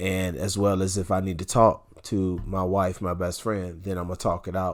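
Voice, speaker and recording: A man's very deep, low voice holds a flat monotone at a moderate pace. The recording is very clean, with a silent background. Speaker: podcast co-host. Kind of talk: casual chat. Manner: loud.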